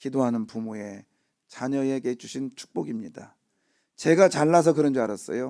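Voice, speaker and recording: Very cleanly recorded against a silent background, a man speaks at a medium pitch. He keeps a moderate pace with lively intonation. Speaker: pastor. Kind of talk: sermon. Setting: church. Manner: casual, halting with fillers.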